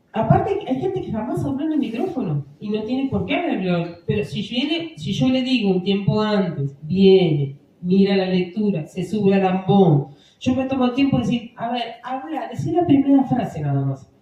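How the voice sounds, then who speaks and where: Noticeable background noise runs beneath talking delivered at a moderate pace. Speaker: parish lay instructor for readers. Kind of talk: workshop talk. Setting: parish hall with microphone.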